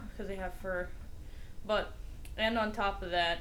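A woman talks at a moderate pace with lively intonation, over noticeable background noise and audible room echo. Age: young. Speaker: podcast co-host. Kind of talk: casual chat.

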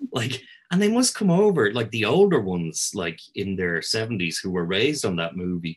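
A man talks at a moderate pace with a Dublin accent. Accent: Irish (Dublin). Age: 50s. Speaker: historian and tour guide. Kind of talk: casual chat.

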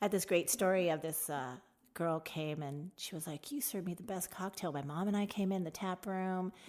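In a plain, everyday voice, a woman with an American accent talks at a fairly quick pace, medium in pitch and with ordinary pitch variation. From Tucson, Arizona. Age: 50s. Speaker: bartender. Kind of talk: casual interview chat.

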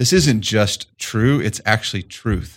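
A man talks at a fairly slow pace in an ordinary speaking voice. His pitch is fairly low and his intonation fairly even. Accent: American. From Colorado, rural eastern plains. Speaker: management consultant. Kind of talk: interview.

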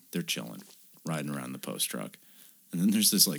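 Very deep and low, the man's voice carries vocal fry and ordinary pitch variation. He speaks at a very fast pace. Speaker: podcast co-host. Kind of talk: casual banter, comedic movie review chat. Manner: profane, joking, animated.

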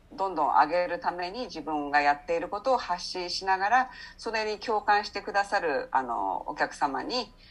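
With lively intonation and a medium pitch, a woman speaks in an unremarkable speaking voice at a moderate pace against a quiet background. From Japan, Saitama. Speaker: English coach, former subtitle translator. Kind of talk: interview conversation.

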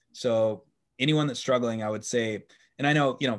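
A man talks at a medium pitch in a normal speaking voice, with fairly even intonation. The recording is very clean, with a silent background. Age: 40s. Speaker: startup community founder. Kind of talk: interview.

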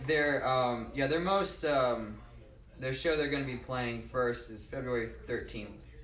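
A man at medium pitch, ordinary pitch variation, a fairly slow pace, and noticeable background noise. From Norfolk, Virginia. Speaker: musician. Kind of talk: casual chat. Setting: studio.

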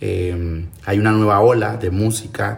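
This man's intonation is fairly even. His voice sits fairly low. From Colombian Pacific coast, Timbiquí, Cauca. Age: 20s. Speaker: cultural manager and musician. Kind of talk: interview testimony. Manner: halting.

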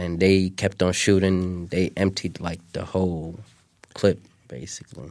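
A man's very deep, low voice in flat, monotone intonation at a fairly slow pace. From Somalia, Mogadishu. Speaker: refugee guest. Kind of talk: interview.

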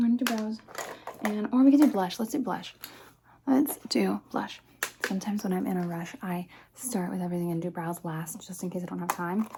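Speech comes at a fairly quick pace broken by long, frequent pauses, with noticeable background noise. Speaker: ASMR creator. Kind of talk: ASMR roleplay. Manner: animated.

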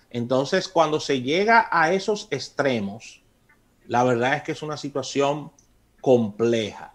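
A man speaks in a normal speaking voice at a medium pitch, with lively intonation and a fairly slow pace. The recording is very clean, with a silent background. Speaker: radio host. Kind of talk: radio talk show, casual discussion. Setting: radio studio.

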